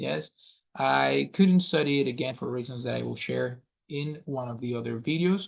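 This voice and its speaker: With a Spanish accent, this man talks at a moderate speed. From Venezuela. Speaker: language coach. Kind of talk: self-introduction monologue. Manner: hesitant with fillers.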